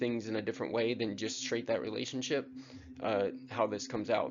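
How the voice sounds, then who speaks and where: Audible room echo is heard on this recording. The voice belongs to a man. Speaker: radiography instructor. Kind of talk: lecture.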